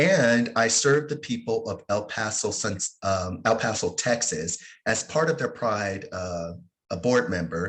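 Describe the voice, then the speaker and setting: A man with a normal speaking voice, medium pitch and lively intonation. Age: 50s. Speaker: webinar moderator, Pride organization officer. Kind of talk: panel discussion introduction.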